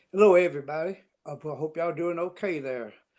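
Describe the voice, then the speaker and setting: A man with a Tennessee accent. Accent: Southern US (Tennessee). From US South, Tennessee (Nashville). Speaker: country songwriter. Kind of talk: interview. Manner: halting.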